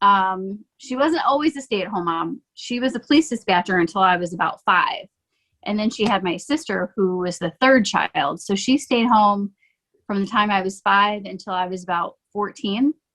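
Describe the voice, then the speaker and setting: With lively intonation at a moderate pace, a woman speaks at a medium pitch in a dry, close sound with no echo. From Michigan, near Detroit, Canadian border. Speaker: realtor and mom, podcast guest. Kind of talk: casual interview.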